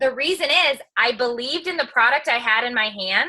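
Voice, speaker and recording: Projecting a raised voice, a woman speaks in an animated tone at a high pitch with very wide pitch swings. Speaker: entertainer and social media personality. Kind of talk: motivational talk on a team call. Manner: loud, outspoken.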